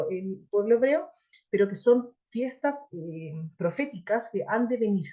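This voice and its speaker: A woman speaks at a medium pitch with a dark, mellow tone and lively intonation. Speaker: Bible teacher. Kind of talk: lecture. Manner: animated.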